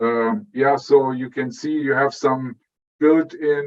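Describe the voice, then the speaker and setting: A man at medium pitch, very slow pace, with ordinary pitch variation. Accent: German. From Germany. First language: German. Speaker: electrical engineer, product director. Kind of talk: interview. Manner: halting, many fillers.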